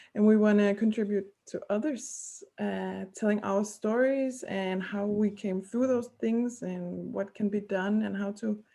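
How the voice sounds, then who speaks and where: A woman with a non-native accent speaks at a fairly slow pace. Her tone is dark and mellow, and her intonation stays fairly even. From Denmark. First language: Danish. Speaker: podcast co-host. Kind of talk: casual chat. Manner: halting.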